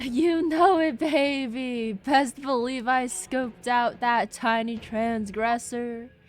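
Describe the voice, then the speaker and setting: A woman puts on a breathy character voice, high in pitch with ordinary pitch variation. She speaks at a very slow pace with music in the background. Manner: airy, breathy, laid-back.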